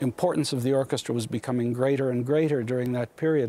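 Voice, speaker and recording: Clear music plays in the background behind a dry sound with no echo and ordinary pitch variation. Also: man. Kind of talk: interview answer. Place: hall. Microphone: lapel.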